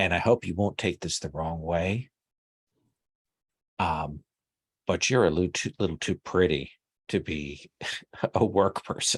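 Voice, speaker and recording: Putting on a character voice, a man speaks at a moderate pace in a raspy, very deep, low pitch, with long, frequent pauses. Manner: flirtatious, chatty.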